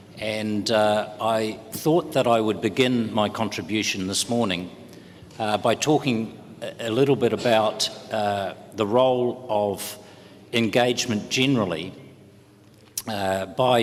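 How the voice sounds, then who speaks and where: Fairly even in intonation, a man with a New Zealand accent speaks at a fairly slow pace and a fairly low pitch. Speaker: trade union official. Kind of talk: conference panel talk. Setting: conference panel. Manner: hesitant, many filler words.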